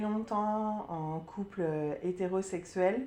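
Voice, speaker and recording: A woman at medium pitch talks very slowly, her intonation lively. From Burgundy, France. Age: 30s. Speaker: sophrologist sharing testimony. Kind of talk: testimony interview. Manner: hesitant, many fillers.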